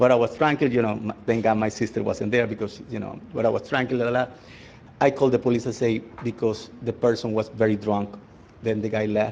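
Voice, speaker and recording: A man's medium-pitched, flat, monotone delivery at a fairly quick pace. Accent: Spanish. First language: Spanish. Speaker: resident speaking at public comment. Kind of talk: public comment at council meeting. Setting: town council meeting. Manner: halting.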